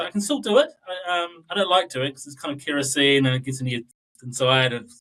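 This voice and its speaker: Fairly high-pitched for a man, this New Zealand accent speaker talks at a fairly quick pace with lively intonation. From southern New Zealand. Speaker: data analytics expert. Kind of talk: interview podcast.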